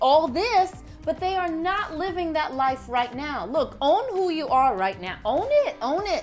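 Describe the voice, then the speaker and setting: A woman speaks fairly slowly. Behind her, music is playing. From Haiti. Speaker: vlog co-host. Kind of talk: casual chat.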